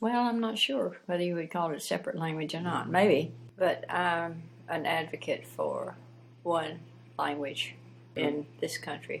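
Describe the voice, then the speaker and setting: A woman speaks with a Southern US accent at a fairly slow pace. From US South, Piedmont of South Carolina. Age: old. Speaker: retired teacher and former missionary. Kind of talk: interview. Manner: halting.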